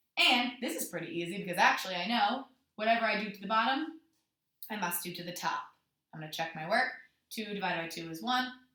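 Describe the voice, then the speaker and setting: Speaking at a very fast pace with long, frequent pauses, a woman uses lively intonation and a bright, sharp tone, her loudness swinging widely amid audible room echo. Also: medium pitch for a woman. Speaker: elementary school teacher. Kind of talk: tutorial.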